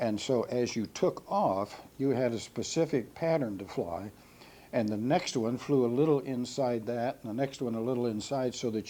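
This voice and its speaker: Dark and mellow, this man's voice sits at a medium pitch with ordinary pitch variation. He speaks with a Midwestern American accent. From Ohio, USA. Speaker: World War II B-17 pilot veteran. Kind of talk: oral history interview answer.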